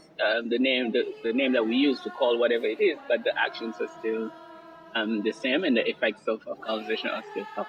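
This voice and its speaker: Music in the background behind a man speaking at a fairly quick pace. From Senegal. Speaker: academic speaker on colonialism. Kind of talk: interview. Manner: halting, many fillers.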